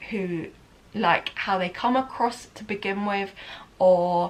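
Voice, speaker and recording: A woman with a southern English accent, medium pitch, fairly even intonation and a fairly slow pace. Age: 30s. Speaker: lifestyle vlogger. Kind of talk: casual chat. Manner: casual and rambling, with frequent fillers.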